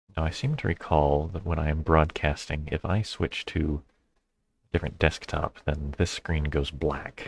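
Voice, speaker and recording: A man with a very deep, low pitch mumbles at a moderate pace, somewhat breathy, with fairly even intonation and big swings in loudness. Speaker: board game streamer. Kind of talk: live gameplay commentary. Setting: live stream. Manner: mumbling.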